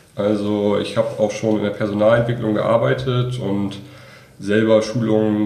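A man speaks with a fairly low pitch and a dark, mellow tone. His pitch varies in an ordinary way, and audible room echo surrounds him. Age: 20s. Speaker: master's student. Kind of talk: interview.

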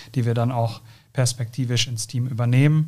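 A somewhat breathy man with monotone, flat intonation. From South Westphalia, Germany. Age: 30s. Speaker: company co-founder. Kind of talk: interview. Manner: hesitant, many fillers.

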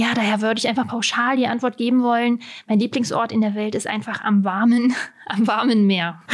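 A woman's ordinary speaking voice, fairly high-pitched, at a fairly quick pace with fairly even intonation. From Saxony-Anhalt, Germany (Halberstadt). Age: 30s. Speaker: tourism advisor. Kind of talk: interview. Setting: studio.

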